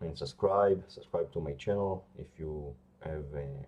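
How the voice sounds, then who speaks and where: The speaker talks at a very slow pace with a non-native accent and ordinary pitch variation. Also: man. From Israel. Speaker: bodybuilder. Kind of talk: vlog talk to camera. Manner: halting, many fillers.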